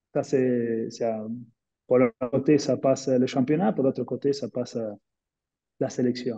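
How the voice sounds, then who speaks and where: A man with a Spanish accent and a dark, mellow tone talks at a fairly slow pace, leaving long, frequent pauses. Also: medium pitch for a man, fairly even intonation. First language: Spanish (speaking French). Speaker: former professional footballer. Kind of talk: webinar panel discussion. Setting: online webinar. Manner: halting, searching for words.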